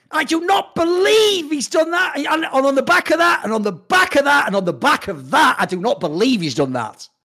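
A man's raised, projected voice at an extremely high pitch, bright and sharp in tone, with very wide pitch swings, a fairly quick pace and hardly any pauses. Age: 30s. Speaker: esports pundit. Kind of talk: casual chat. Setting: live show.

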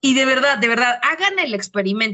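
An animated woman with a Mexican accent, fairly high in pitch, lively in intonation, at a moderate pace. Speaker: podcast co-host, teacher. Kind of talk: casual chat.

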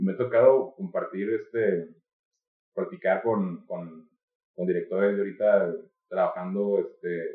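A man is talking. His pace is moderate. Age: 20s. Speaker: marketing and media worker. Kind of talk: casual philosophical discussion. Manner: halting with repetitions.

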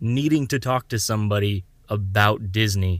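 Heard in a very clean recording with a silent background, a man with an American accent uses a plain, everyday voice at a medium pitch, a moderate pace and ordinary pitch variation. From Southwest Florida. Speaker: podcast host. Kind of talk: casual chat.

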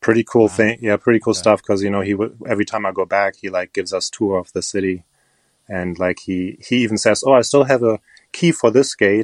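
Speech at a very fast pace in a German accent, with ordinary pitch variation and a dry, close sound with no echo. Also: man, fairly low pitch for a man. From Germany. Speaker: crystal shop owner and online video creator. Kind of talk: casual interview chat. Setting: remote call recording.

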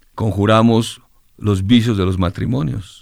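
Fairly even intonation from a man with a plain, everyday voice. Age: 60s. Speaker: singer-songwriter. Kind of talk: interview.

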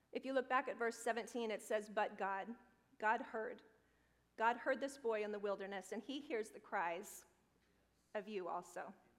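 At a moderate pace, a woman with a fairly high pitch and ordinary pitch variation speaks with long, frequent pauses. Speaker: pastor. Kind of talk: sermon.

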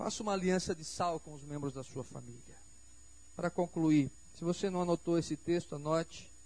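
An ordinary speaking voice from a man, fairly high in pitch, at a moderate pace with fairly even intonation and big swings in loudness. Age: 40s. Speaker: pastor. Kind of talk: sermon. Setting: church.

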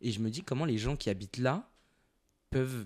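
The recording is very clean, with a silent background. What you hear is a normal speaking voice, with ordinary pitch variation. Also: man. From Paris suburbs. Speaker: podcast host. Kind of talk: casual chat, interview.

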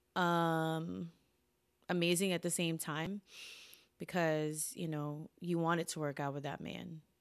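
A woman's fairly low, monotone, flat voice in an American accent, at a fairly slow pace. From Philippines, then US from age eight. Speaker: salon owner. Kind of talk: casual chat.

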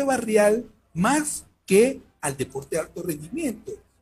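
A man talks at a very slow pace in a high pitch with a dark, mellow tone. His pitch swings very widely. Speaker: sports management researcher. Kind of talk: interview. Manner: halting. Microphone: headphone plug problem, sound echo.

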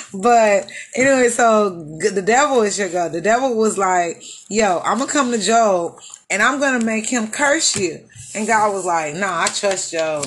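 Speaking at a moderate pace with an American accent, a woman uses a plain, everyday voice at medium pitch and with lively intonation. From Houston, Texas. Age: 30s. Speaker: podcast host. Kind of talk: casual chat.

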